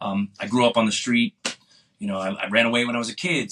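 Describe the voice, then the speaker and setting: A man with an American accent and a plain, everyday voice talks at a fairly quick pace, with ordinary pitch variation. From Boston area, US. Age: 50s. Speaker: punk musician. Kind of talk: casual interview.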